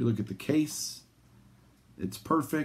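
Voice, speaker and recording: A man speaks in an animated tone. His pitch swings very widely. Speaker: sports card collector and video host. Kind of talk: casual vlog monologue. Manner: animated, ranting.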